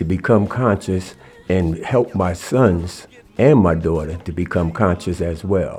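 Music runs in the background as a man with an American accent talks at a fairly slow pace. His voice is very deep and low, with ordinary pitch variation. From New Jersey. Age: 70s. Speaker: guest, former inmate and youth-awareness speaker. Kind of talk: interview, personal testimony. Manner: reflective, earnest.

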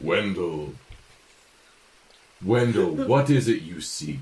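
A man uses a booming, put-on character voice at a medium pitch with very wide pitch swings. He speaks at a very slow pace. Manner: commanding, questioning.

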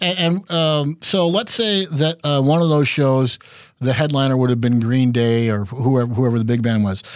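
A man's medium-pitched, plain, everyday voice at very even loudness, on a very clean recording with a silent background. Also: lively intonation, moderate pace. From Minnesota. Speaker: radio host. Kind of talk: casual chat.

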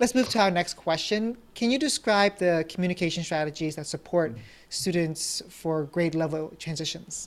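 A woman's unremarkable speaking voice, fairly low in pitch, with lively intonation at a moderate pace. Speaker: podcast host, former teacher. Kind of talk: podcast interview.

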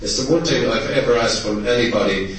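A man with a Munster Irish accent talks at a fairly quick pace in a medium pitch with ordinary pitch variation, amid noticeable background noise and audible room echo. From Tipperary, Ireland. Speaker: anti-eviction activist. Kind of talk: public speech. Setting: conference hall with audience. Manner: impassioned.

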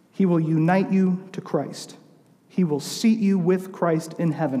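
Noticeable background noise sits behind a man with an American accent. He talks at a fairly slow pace with fairly even intonation. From Southern California, later St. Louis. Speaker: youth pastor, guest preacher. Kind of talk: sermon. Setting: church.

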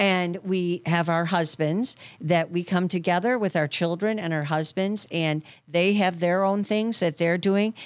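This woman has an unremarkable speaking voice with a fairly low pitch. Her intonation is fairly even and her loudness stays very even. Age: 60s. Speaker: therapist. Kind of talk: casual chat.

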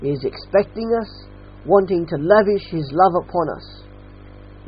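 With an Australian accent, a man talks at a fairly slow pace using ordinary pitch variation. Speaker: preacher. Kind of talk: sermon. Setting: church.

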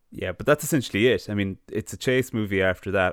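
A man of medium pitch speaks with ordinary pitch variation and a normal speaking voice. The sound is dry and close, with no echo. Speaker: film podcast host. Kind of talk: casual chat, film retrospective.

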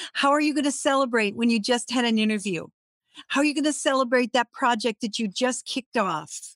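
Her pace fairly quick and her pitch high with ordinary variation, a woman with an American accent speaks at very even loudness in a dry, close sound with no echo. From Minnesota. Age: 60s. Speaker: LinkedIn coach. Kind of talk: online workshop presentation. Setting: live online session.

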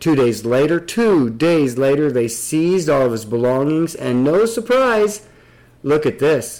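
Pitched fairly high, a man talks at a fairly slow pace with very wide pitch swings and very even loudness. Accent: American. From Nebraska. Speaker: podcast host. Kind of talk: casual discussion.

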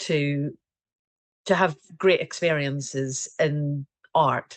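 Very slowly and in a monotone, flat intonation, a woman with a very deep, low voice speaks in a Scottish accent. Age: 40s. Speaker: portrait painter. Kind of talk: casual interview.

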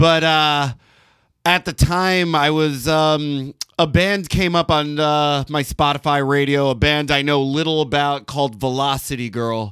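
This is a man with a normal speaking voice at a fairly high pitch. He talks at a fairly slow pace. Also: fairly even intonation, very clean recording, silent background. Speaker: comedian. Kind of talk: casual chat.

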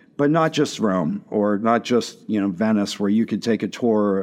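Here is a plain, everyday voice with an American accent. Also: man. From western Pennsylvania (Washington, PA). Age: 50s. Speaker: chef and restaurant owner. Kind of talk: casual interview.

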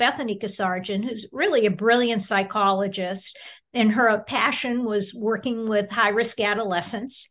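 Speaking at a fairly slow pace, a woman with an American accent and an unremarkable speaking voice talks in a fairly high pitch with ordinary pitch variation. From Boston area, US. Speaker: nonprofit founder and author. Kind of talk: interview.

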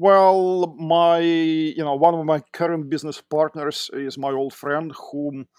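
With a Russian accent, a man talks at a fairly high pitch with ordinary pitch variation, in a dry, close sound with no echo. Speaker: tech entrepreneur. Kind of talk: interview. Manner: halting.

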